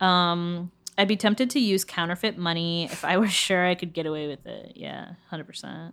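A woman with a normal speaking voice talks at a moderate pace, with ordinary pitch variation and big swings in loudness. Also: fairly low pitch for a woman. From United States. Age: 20s. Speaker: podcast co-host. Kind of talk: casual chat.

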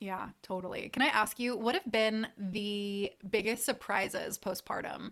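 A woman with an unremarkable speaking voice talks at a fairly high pitch and a fairly slow pace, with hardly any pauses. Her intonation is fairly even, and the recording is very clean with a silent background. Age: 30s. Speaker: podcast host. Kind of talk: casual interview chat; scripted intro. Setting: at her parents' house.

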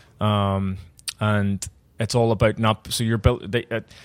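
In a Belfast accent, the speaker talks at a moderate pace with monotone, flat intonation, on a very clean recording with a silent background and a dry, close sound with no echo. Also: man. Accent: Belfast Northern Irish. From Northern Ireland. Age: 30s. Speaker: bar owner and bartender. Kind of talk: casual interview.

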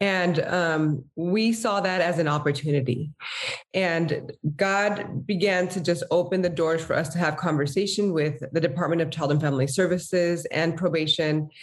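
A woman with a fairly low pitch speaks at a moderate pace and very even loudness over noticeable background noise. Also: ordinary pitch variation. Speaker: nonprofit co-founder. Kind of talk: interview.

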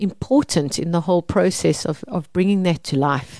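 Over a quiet background, a woman speaks with a South African accent at a medium pitch and a moderate pace. Her tone is dark and mellow, her intonation lively. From South Africa, Mpumalanga. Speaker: organic gardening expert and seed seller. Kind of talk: casual interview. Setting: studio.

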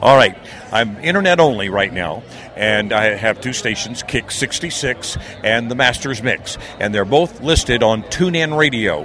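Noticeable background noise sits behind a man with an American accent. He has a medium pitch and lively intonation. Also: fairly slow pace. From northeastern US, near Philadelphia. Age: 60s. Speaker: radio broadcaster and military veteran. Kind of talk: interview. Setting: expo floor.

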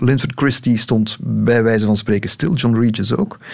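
Against noticeable background noise, a man speaks at medium pitch. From Belgium, Lokeren (East Flanders). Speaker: political journalist. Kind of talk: casual interview. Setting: radio studio.

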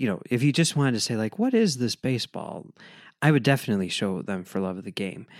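With an American accent, a man speaks in an unremarkable speaking voice at a medium pitch. His intonation is lively. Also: very clean recording, silent background. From Chicago, US Midwest. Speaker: podcast co-host. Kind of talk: casual chat.

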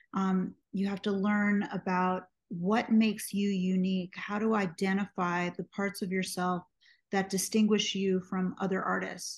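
A woman talks at a fairly slow pace in a somewhat breathy voice with monotone, flat intonation. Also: medium pitch for a woman. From US, New York City. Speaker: singer, songwriter and music producer. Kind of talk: interview conversation.

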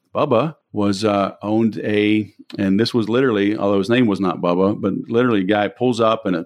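In an American accent, a man speaks in an ordinary speaking voice at medium pitch and moderate pace, his intonation fairly even. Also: quiet background. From US South, Louisiana (Baton Rouge). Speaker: sales trainer and entrepreneur. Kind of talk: interview.

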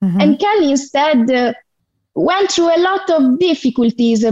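Speaking in an Italian accent, a woman is heard. Her intonation is lively. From southern Italy. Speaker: fan caller. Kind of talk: casual chat. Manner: halting.

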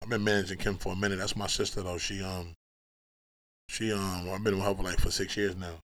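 The recording is very clean, its background silent. In it, a man speaks very fast. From Brooklyn, New York. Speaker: music industry manager. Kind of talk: casual chat. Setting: studio. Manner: animated.

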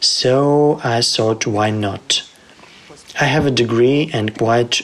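At a very slow pace, a man speaks with a Ukrainian accent over noticeable background noise. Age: 30s. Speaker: programmer turned volunteer. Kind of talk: testimony.

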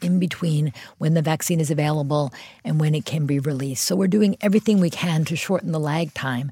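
Dry and close with no echo, this very clean recording has a silent background and carries a woman's fairly low, dark, mellow, somewhat breathy voice with an American accent and ordinary pitch variation. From US Northeast, Philadelphia. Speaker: public health official. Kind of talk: interview.

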